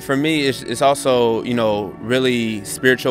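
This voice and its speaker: With an American accent, the speaker talks at a moderate pace with ordinary pitch variation as music plays in the background. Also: man. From Redwood City, California. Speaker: aspiring actor and animator. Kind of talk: interview answer.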